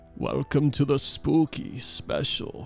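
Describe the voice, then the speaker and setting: A man does a put-on character voice at a fairly slow pace. Music plays in the background. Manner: spooky, cheesy.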